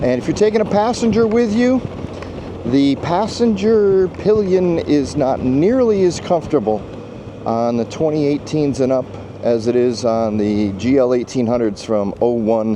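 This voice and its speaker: A man's pitch swings very widely while noticeable background noise plays behind him. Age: 60s. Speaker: motorcycle vlogger. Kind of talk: casual vlog monologue. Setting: outdoors on a motorcycle ride. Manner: hesitant, many fillers.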